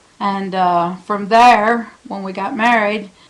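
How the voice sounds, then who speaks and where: A woman speaks in a plain, everyday voice at a medium pitch with an American accent. Her intonation stays fairly even. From Smith Island, Maryland (Chesapeake Bay). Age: 60s. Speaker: home baker. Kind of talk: interview monologue. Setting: at home.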